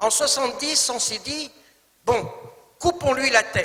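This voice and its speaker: With an Arabic accent, a man projects a raised voice at an extremely high pitch, speaking at a very slow pace with ordinary pitch variation. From Tunisia, Tunis. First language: Arabic (speaking French). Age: 60s. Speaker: actor. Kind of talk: talk. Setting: stage with audience. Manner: formal.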